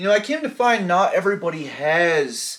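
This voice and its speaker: This voice is a man's. Very wide swings run through his pitch. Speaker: video blogger, former addict. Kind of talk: casual storytime monologue. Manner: sometimes trips on words; casual, slangy.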